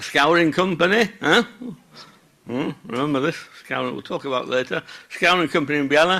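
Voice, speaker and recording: Fairly high-pitched man at a moderate pace, bright, sharp tone and ordinary pitch variation, on a very clean recording with a silent background. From Yorkshire, northern England (Bradford). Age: 60s. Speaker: wool processor, conference speaker. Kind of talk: conference talk. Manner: conversational, with many filler sounds.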